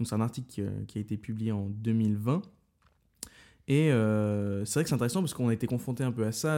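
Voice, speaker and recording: At a fairly quick pace, a man talks with a dark, mellow tone. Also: very clean recording, silent background. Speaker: podcast host, medical student. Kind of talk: casual chat.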